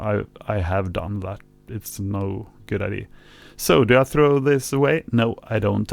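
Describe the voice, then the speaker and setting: Fairly low-pitched man with a non-native accent, ordinary pitch variation and a fairly slow pace. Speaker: vinyl record collector. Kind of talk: tutorial narration. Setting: home recording with mixer hum. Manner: hesitant, casual.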